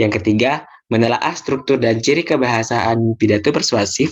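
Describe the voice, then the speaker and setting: A man has an ordinary speaking voice with a medium pitch and ordinary pitch variation. The background is quiet. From Indonesia, Bondowoso, East Java. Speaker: teacher. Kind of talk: lesson.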